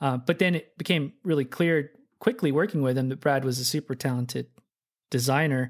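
In a normal speaking voice with an American accent, the speaker moves at a fairly quick pace over a very clean recording with a silent background. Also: man, fairly high pitch for a man, ordinary pitch variation. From Oklahoma City, US. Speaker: software developer. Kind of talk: casual interview. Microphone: good podcast mic.

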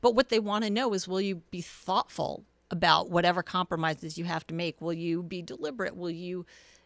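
An ordinary speaking voice from a woman, fairly low in pitch with fairly even intonation, comes through a very clean recording with a silent background and a dry, close sound free of echo. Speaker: political candidate. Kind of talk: interview.

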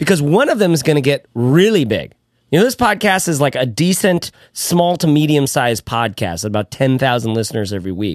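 Very wide pitch swings mark a man's fairly high voice as he talks at a fairly quick pace. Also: quiet background. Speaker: podcast host. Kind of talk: casual podcast discussion. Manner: very verbal, talkative.

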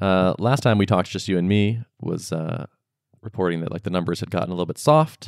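A man with an ordinary speaking voice, fairly low in pitch with ordinary pitch variation, talks at a fairly quick pace in a dry, close sound with no echo on a very clean recording with a silent background. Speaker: podcast co-host. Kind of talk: casual chat.

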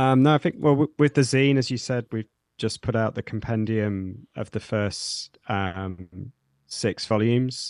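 Recorded dry and close with no echo against a quiet background, a man with an East Midlands accent speaks at a fairly slow pace, a medium pitch and ordinary pitch variation. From Nottingham, England. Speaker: zine publisher and metal musician. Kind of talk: interview.

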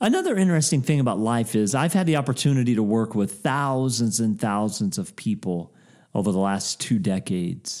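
A man's fairly quick, medium-pitched speech with a warm tone, lively intonation and very even loudness. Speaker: podcast host and author. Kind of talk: pep talk, motivational sermon-like address to listeners. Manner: warm, earnest, rising and emphatic, repeating 'you have permission' like a rallying cry; animated, upbeat greeting.

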